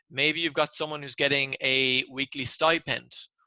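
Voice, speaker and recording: In an Irish accent, a man with a bright, sharp tone talks at a fairly slow pace, the sound dry and close with no echo. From Ireland. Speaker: tax presenter. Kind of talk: webinar presentation.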